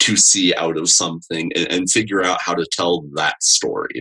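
A man's fairly slow speech, dry and close with no echo. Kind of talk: casual podcast interview. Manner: halting, fillers and repeats.

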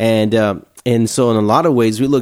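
A man speaks with an American accent in a normal speaking voice. His pitch is medium, his pace moderate, and his intonation fairly even. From Houston, Texas. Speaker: overseas missionary. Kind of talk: casual interview.

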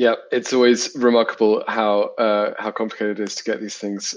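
In a British accent, a man talks at medium pitch and a moderate pace, his intonation monotone and flat. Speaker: interviewer, organisation chief executive. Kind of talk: interview.

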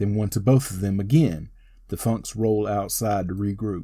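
A man's fairly low, dark, mellow voice, somewhat breathy, at a moderate pace with ordinary pitch variation, in a very clean recording with a silent background. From North Carolina. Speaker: wrestling podcast host. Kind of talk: match play-by-play recap. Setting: home studio.

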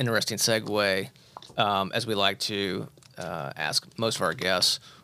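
A fairly low-pitched man with a US Midwestern accent and a bright, sharp tone. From Indianapolis area, Indiana. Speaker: podcast host, cancer survivor. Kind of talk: podcast interview. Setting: studio.

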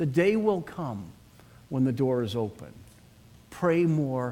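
A man with a Boston accent speaks at a fairly slow pace in a medium pitch, his dark, mellow tone riding very wide pitch swings. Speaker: pastor. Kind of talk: sermon. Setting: church.

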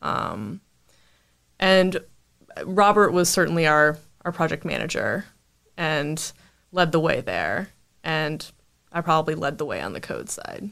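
A woman with an American accent talks at a fairly slow pace and fairly low pitch, with vocal fry and ordinary pitch variation. Long, frequent pauses break up her speech on a very clean recording with a silent background. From US South, North Carolina (Winston-Salem). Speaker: junior software developer, bootcamp graduate. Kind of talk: casual interview.

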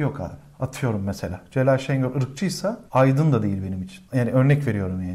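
Somewhat breathy and with hardly any pauses, a man speaks at medium pitch with very wide pitch swings. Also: fairly quick pace. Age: 30s. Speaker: podcast host and comedian. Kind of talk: casual chat. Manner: animated.

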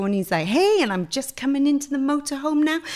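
This woman's voice swings very widely in pitch. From Pontypool, south Wales. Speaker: fashion stylist. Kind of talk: casual interview chat.

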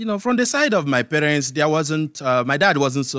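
In a Nigerian accent, a man talks at a moderate pace with lively intonation and a bright, sharp tone. The recording is very clean, with a silent background. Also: dry, close sound with no echo. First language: Igbo. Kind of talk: casual interview.

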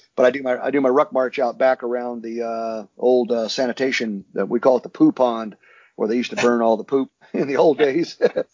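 At a fairly quick pace, a man with an ordinary speaking voice holds a medium pitch and fairly even intonation. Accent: American. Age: 60s. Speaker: security contractor, former special forces soldier. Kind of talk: interview.

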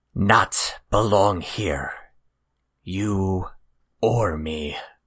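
This is a put-on character voice, raspy and low in pitch. The background is quiet. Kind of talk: broken halting speech.

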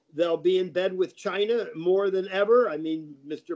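This man's voice sits at a high pitch. He keeps a moderate pace and fairly even intonation. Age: 80s+. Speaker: climate skeptic author and lecturer. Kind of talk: interview.

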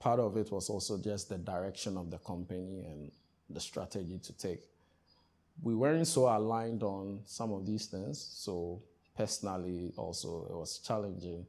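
Speaking in a Ghanaian accent with a dark, mellow tone, this voice moves at a moderate pace with ordinary pitch variation and big swings in loudness. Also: man, fairly low pitch for a man. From Ghana (Accra, eastern region; hometown Keta, Volta). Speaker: tech startup founder and CEO. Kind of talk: interview.

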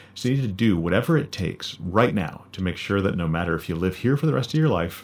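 Here a man talks softly in a very deep, low pitch. His intonation is lively and his pace fairly quick. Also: very clean recording, silent background. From rural Canada. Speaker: podcast host, musician and high school teacher. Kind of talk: personal narration about song background.

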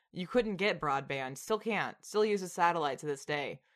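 A woman in a Southern US accent, with ordinary pitch variation and a moderate pace, over a quiet background. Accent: Southern American. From Tennessee, US South. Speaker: podcast host. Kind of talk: casual chat.

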